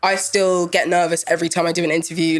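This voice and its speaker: Over music in the background, a woman talks at a very fast pace and a medium pitch. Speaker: journalist and radio host. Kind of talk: interview.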